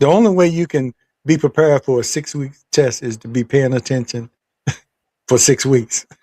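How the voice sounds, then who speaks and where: A man with an American accent speaks at a fairly high pitch and a moderate pace. His tone is dark and mellow, with a dry, close sound and no echo. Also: ordinary pitch variation. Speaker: talk show host. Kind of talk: casual chat.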